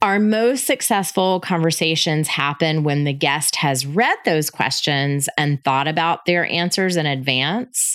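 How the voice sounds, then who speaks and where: A woman with an American accent, very deep and low in pitch, fairly slow, upbeat and lively in intonation, her loudness very even. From US South, Florida Panhandle. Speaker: podcast host, hospitality marketing consultant. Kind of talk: solo podcast monologue. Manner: upbeat, conversational.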